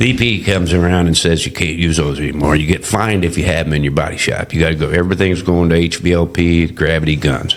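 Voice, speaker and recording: Fairly even in intonation, the speech races at a very fast pace with hardly any pauses over noticeable background noise. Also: man, very deep, low pitch for a man. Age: 60s. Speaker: barbecue restaurant owner. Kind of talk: casual interview. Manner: halting, lots of fillers and self-corrections.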